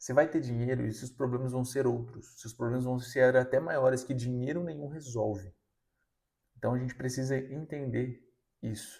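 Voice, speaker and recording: A man with a dark, mellow voice and a slight breathiness talks at a moderate speed. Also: medium pitch for a man, fairly even intonation. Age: 20s. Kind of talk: motivational sermon-style talk. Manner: casual, conversational.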